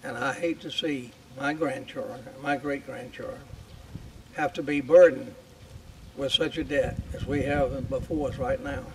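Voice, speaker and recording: A man speaks at a moderate pace with long, frequent pauses against noticeable background noise. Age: 80s+. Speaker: war veteran. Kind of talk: speech. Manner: halting.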